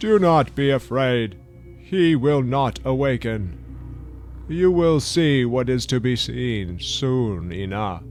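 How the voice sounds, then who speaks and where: Someone speaks in a put-on character voice at a very slow pace over clear background noise. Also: man. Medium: audio drama. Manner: gruff, curt.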